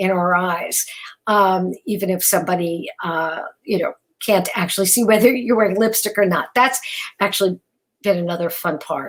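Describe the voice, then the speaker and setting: With a New York accent, a woman speaks at a moderate pace in fairly even intonation. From New York, Brooklyn. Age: 60s. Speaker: keynote speaker. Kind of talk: keynote speech. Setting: virtual event. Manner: halting, with many fillers.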